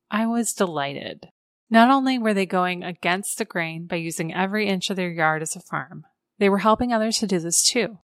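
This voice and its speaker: Speaking with a Midwestern American accent, a woman at medium pitch uses lively intonation at a moderate pace, in a dry, close sound with no echo. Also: very clean recording, silent background. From Iowa. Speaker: podcast host. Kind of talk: scripted narration; interview conversation.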